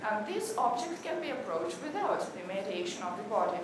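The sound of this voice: Over clear background noise and audible room echo, a woman talks at a medium pitch.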